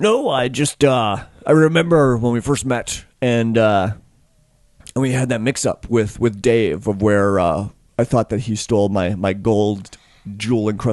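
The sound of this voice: A man puts on a gruff character voice, speaking at a medium pitch and a moderate pace with ordinary pitch variation.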